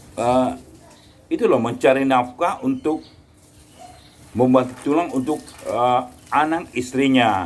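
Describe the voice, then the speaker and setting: A man speaks at a very slow pace. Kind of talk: casual talk to camera.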